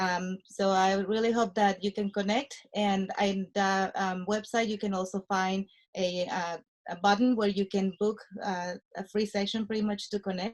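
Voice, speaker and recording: A woman at medium pitch with a Spanish accent, moderate in pace, with monotone, flat intonation. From Mexico. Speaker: nurse anesthetist and real estate investor. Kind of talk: interview. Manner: halting, many fillers.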